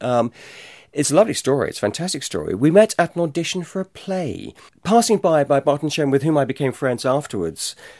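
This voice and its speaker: In a very clean recording with a silent background, the speaker moves at a fairly quick pace with very wide pitch swings. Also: man. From Devon, England. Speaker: campaigner and journalist. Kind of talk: interview testimony.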